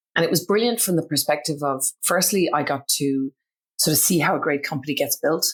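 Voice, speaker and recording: With an Irish accent, a woman speaks at a fairly quick pace with very deep, low pitch, ordinary pitch variation and very even loudness, in a very clean recording with a silent background. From Ireland. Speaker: business founder. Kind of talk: podcast interview.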